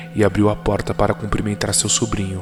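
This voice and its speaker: Music playing behind a man whose voice is fairly low in pitch. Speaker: horror story narrator. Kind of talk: horror story narration.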